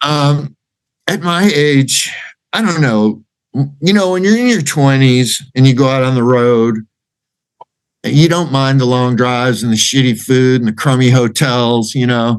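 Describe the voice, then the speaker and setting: With an American accent, a man speaks at a medium pitch and a fairly slow pace, with ordinary pitch variation and long, frequent pauses. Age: 60s. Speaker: rock singer. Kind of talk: interview.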